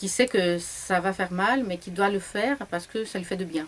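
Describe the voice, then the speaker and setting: A woman's medium-pitched voice in a Greek accent, fairly slow in pace, with ordinary pitch variation. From Greece, Larissa. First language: Greek (speaking French). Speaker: novelist. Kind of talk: interview. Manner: hesitant, with fillers.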